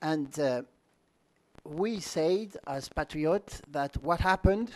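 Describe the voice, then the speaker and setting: A man with a French accent speaks at a very slow pace, his intonation lively. The sound is dry and close, with no echo. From France. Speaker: party leader. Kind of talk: conference speech. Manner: halting.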